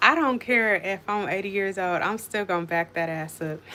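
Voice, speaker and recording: With an animated tone, a woman speaks at a medium pitch in a bright, sharp tone. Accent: American. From Colorado. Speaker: cooking livestreamer. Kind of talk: casual live-stream chat. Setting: home kitchen live stream.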